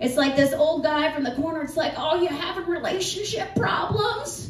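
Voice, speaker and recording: A woman talks at a moderate pace in an extremely high voice, with ordinary pitch variation. The room echo is audible. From US Northeast. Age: 40s. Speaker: comedian. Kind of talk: stand-up. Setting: stage with audience. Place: bar. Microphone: camera far.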